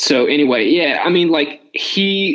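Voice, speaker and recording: At a moderate pace, a man speaks with vocal fry and a fairly high pitch. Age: 20s. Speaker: fantasy football podcast host. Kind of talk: casual chat.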